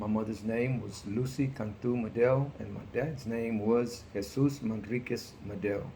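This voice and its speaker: A man speaks at a fairly slow pace with fairly even intonation. Room echo is audible. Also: medium pitch for a man, hardly any pauses. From Texas, Houston. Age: 60s. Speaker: interviewee, parent of student. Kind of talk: interview.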